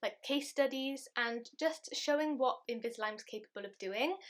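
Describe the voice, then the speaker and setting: Speaking with a British accent, a woman projects a raised voice with a bright, sharp tone, high pitch, lively intonation and a moderate pace. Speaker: beauty and lifestyle vlogger. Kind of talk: casual vlog talk to camera. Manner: chatty.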